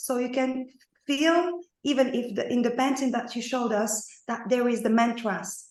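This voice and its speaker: Amid audible room echo, a woman speaks at a high pitch and a moderate pace with fairly even intonation. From Morocco. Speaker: painter and dance researcher. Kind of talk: online seminar audience comment. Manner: halting.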